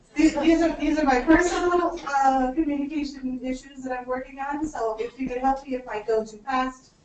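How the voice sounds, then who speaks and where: Amid audible room echo, a woman talks at a moderate pace with a high pitch and ordinary pitch variation. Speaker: state education finance official. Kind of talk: conference presentation.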